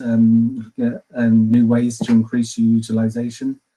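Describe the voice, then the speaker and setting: Here a man speaks with an English accent. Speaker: customer success manager at a yield software firm. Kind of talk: webinar presentation. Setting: online webinar. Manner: fast.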